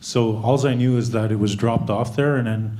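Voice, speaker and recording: In a room with audible echo, a man with a medium-pitched, dark, mellow and somewhat breathy voice speaks at a moderate pace with fairly even intonation. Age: 30s. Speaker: conference audience member. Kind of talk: audience question. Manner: halting.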